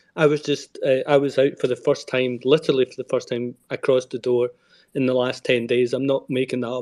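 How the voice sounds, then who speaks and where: A man with a Scottish accent, monotone and flat in intonation, at a fairly quick pace with big swings in loudness. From Scotland. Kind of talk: personal testimony in an online audio space. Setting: online audio space.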